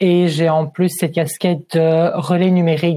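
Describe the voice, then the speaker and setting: A man's fairly high voice, dark and mellow in tone, with a Liège accent. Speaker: job search advisor. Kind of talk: webinar presentation.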